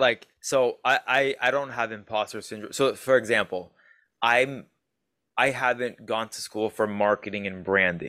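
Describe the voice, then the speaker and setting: Recorded very cleanly against a silent background, a man with a Canadian accent speaks at a moderate pace, his medium-pitched voice bright and sharp in tone with fairly even intonation. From Ontario, Canada. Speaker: online fitness coach, co-host. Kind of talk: casual chat.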